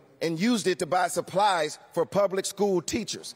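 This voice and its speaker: Crowd noise fills the background. A man speaks at a moderate pace in an upbeat, playful tone. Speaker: awards show host, comedian. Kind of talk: live stand-up comedy monologue. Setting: live audience in a large theater. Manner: jokey, upbeat, playful. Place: stage. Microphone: handheld.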